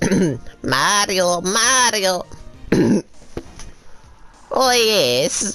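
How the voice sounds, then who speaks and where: A put-on character voice with an Italian accent comes through at a fairly high pitch. Faint music plays in the background. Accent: exaggerated Italian. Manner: excited, exclamatory.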